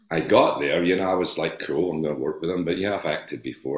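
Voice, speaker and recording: A man with a Scottish accent and ordinary pitch variation. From Scotland. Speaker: actor. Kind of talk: interview.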